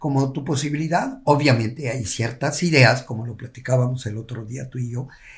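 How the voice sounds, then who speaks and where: At a moderate pace with hardly any pauses, a somewhat breathy voice keeps a fairly even intonation while its loudness swings a lot. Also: man, medium pitch for a man. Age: 70s. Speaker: yoga teacher. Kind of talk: casual chat. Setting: at the host's home.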